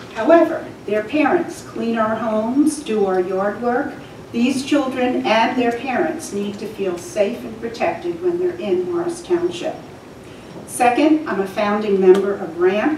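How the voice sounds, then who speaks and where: Against light background noise and audible room echo, a woman with a fairly high pitch talks at a fairly slow pace, her pitch swinging very widely. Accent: American. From New Jersey. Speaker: church volunteer and resident giving public comment. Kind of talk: public comment. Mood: earnest, calm. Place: meeting room.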